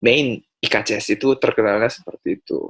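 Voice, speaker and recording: Heard in a dry, close sound with no echo, a man talks at a moderate pace. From South Korea. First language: Korean (speaking Indonesian). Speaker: language school founder. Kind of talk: casual interview chat.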